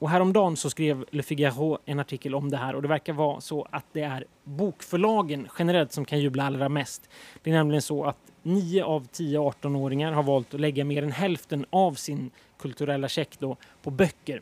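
A man's fairly high voice at a moderate pace, with fairly even intonation and a dry, close sound free of echo. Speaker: journalist. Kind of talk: scripted narration. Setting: aboard a ship.

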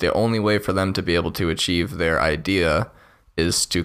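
A man's fry-edged voice at a moderate pace, with ordinary pitch variation, on a very clean recording against a silent background. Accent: American. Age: 20s. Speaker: podcast co-host. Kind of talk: casual political discussion.

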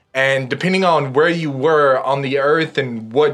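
A man speaks in a plain, everyday voice at a fairly high pitch. He talks at a fairly quick pace with ordinary pitch variation. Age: 30s. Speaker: atheist guest. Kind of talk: casual chat.

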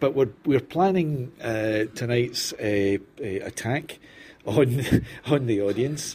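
A very slow, somewhat breathy male voice at medium pitch, with a dark, mellow tone and ordinary pitch variation. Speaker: crime writer and reporter. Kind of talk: casual chat while drinking. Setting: roadside bar in Spain.

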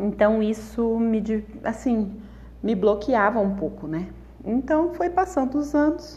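Very slowly, a woman speaks in a fairly high, somewhat breathy voice with a dark, mellow tone, very wide pitch swings, and long, frequent pauses. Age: 30s. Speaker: crochet artisan and podcaster. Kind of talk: personal storytelling monologue. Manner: casual, chatty.

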